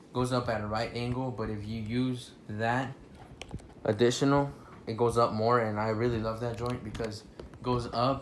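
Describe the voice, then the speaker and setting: Monotone, flat intonation at a moderate pace, with audible room echo. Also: man. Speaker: toy reviewer. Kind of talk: product review. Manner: halting, filler-heavy; casual.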